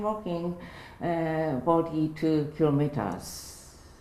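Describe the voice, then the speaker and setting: A woman's fairly low voice at a very slow pace, with audible room echo. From Japan, Niigata. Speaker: English seminar student, relaxation exercise teacher. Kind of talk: interview in beginner English. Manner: halting, hesitant.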